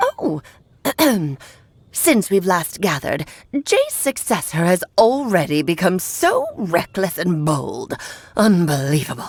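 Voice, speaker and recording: A woman puts on a character voice at a medium pitch, speaking at a fairly slow pace with long, frequent pauses. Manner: haughty, scolding.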